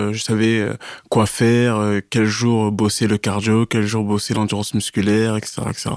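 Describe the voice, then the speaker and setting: A man at a medium pitch, speaking at a fairly slow pace, on a very clean recording with a silent background. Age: 30s. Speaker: amateur fitness competitor. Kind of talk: casual interview. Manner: halting, with frequent repetitions.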